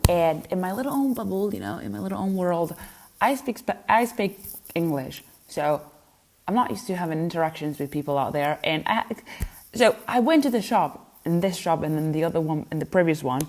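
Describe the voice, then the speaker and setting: A woman with a Spanish accent, fairly low in pitch, at a fairly quick pace with very wide pitch swings. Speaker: lifestyle vlogger. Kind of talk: vlog. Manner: casual, chatty.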